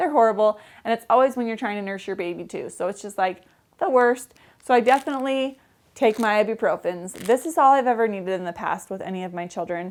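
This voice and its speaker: A woman's fairly high, animated voice with lively intonation at a very fast pace, on a very clean recording with a silent background. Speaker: vlogger. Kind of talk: casual vlog.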